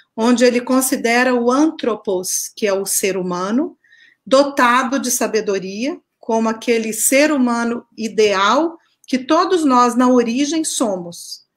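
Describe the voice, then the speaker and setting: In a Minas Gerais accent, a woman with a high voice and ordinary pitch variation speaks at a very slow pace on a very clean recording with a silent background. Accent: Minas Gerais (mineiro). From Minas Gerais, Brazil. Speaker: researcher, artist and author. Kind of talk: interview.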